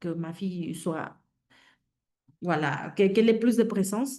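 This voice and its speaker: A woman's medium-pitched voice in a Mexican accent, with a dark, mellow tone. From Mexico. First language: Spanish (speaking French). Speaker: career transition coach. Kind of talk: webinar talk. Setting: online webinar. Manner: hesitant, many fillers.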